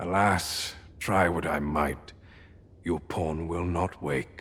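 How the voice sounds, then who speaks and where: A man's put-on character voice, raspy and very deep in pitch, at a very slow pace. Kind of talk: fantasy game dialogue. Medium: video game. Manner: formal, archaic, deliberate.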